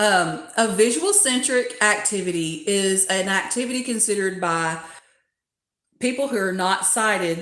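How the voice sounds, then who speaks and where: At a fairly slow pace, a woman speaks in a medium pitch with audible room echo. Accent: Southern US. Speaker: doll collecting YouTuber. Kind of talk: livestream community chat.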